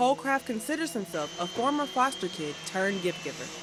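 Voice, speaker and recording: A woman talks at a fairly quick pace with very wide pitch swings. Noticeable background noise runs underneath. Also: medium pitch for a woman. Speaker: broadcast news reporter. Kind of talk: news package voiceover narration.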